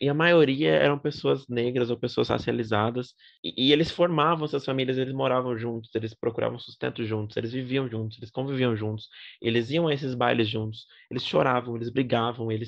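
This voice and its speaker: A man in a normal speaking voice, medium pitch and ordinary pitch variation, fairly quick, over a quiet background. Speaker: podcast host. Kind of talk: casual chat.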